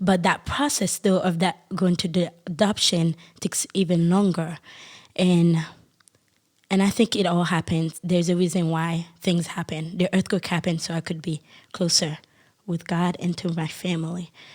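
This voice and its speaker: A woman with a Haitian accent speaks at a fairly low pitch and a moderate pace, in a monotone, flat intonation. She takes long, frequent pauses, and the recording is very clean with a silent background. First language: Haitian Creole. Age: 20s. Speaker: podcast guest. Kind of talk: testimony. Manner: halting.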